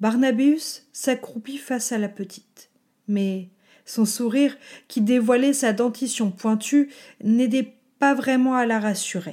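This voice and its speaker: Dark and mellow in tone, a woman speaks very slowly at a high pitch. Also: ordinary pitch variation. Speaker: storyteller and podcast host. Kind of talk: literary audiobook reading of a fairy tale. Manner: measured, expressive storytelling narration.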